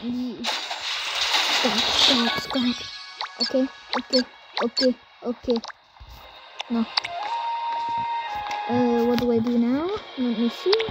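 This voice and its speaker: A woman speaks fairly slowly with long, frequent pauses and ordinary pitch variation. Music plays in the background, and the sound is dry with no echo. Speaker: gamer. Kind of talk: casual gameplay commentary.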